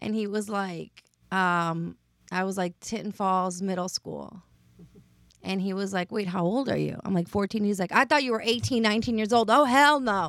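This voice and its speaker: The recording is very clean, with a silent background. A woman with an unremarkable speaking voice talks at medium pitch and a moderate pace, with ordinary pitch variation. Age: 30s. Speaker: podcast host. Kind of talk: casual chat.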